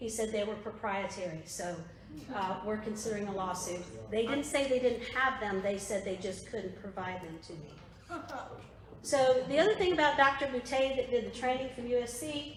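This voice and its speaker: With a Southern US accent, a woman with fairly high pitch speaks with lively intonation and big swings in loudness. Noticeable background noise and audible room echo fill the recording. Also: moderate pace. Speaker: political activist / presenter. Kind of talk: presentation to a political group. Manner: conversational, with fillers.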